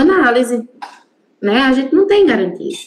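A woman's voice with very wide pitch swings. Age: 30s. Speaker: Lacanian psychoanalyst. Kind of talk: casual chat.

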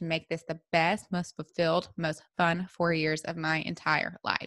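At a fairly low pitch and moderate pace, a woman with a Southern US accent speaks in a bright, sharp tone, the sound dry and close with no echo on a very clean recording with a silent background. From US South, Memphis, Tennessee. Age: 30s. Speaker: wellness podcast host. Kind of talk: solo podcast monologue.

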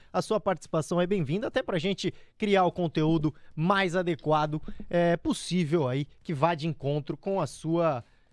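The speaker sounds animated, moving at a moderate pace with ordinary pitch variation. The recording is very clean with a silent background, and the sound is dry and close with no echo. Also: man, high pitch for a man. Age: 20s. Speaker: radio host. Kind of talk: radio show.

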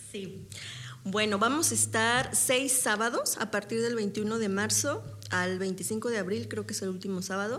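Audible room echo surrounds a woman speaking with vocal fry and ordinary pitch variation. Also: medium pitch for a woman. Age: 30s. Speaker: stage actress. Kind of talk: interview.

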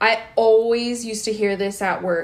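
A woman speaks in an unremarkable speaking voice, pitched fairly high. Her intonation stays fairly even. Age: 20s. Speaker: podcast co-host. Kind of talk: casual chat.

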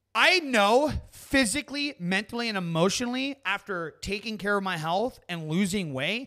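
A man's high, raised, projected voice, bright and sharp in tone, at a moderate pace with very wide pitch swings. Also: very clean recording, silent background. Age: 30s. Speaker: YouTuber and podcast host. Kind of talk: casual chat. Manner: halting.

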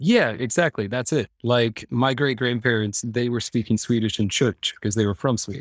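Speaking with a Midwestern American accent, a man keeps a medium pitch, fairly even intonation and a moderate pace with hardly any pauses, in a dry, close sound with no echo. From Iowa, US Midwest. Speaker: dad living abroad, school worker. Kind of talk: casual interview chat.

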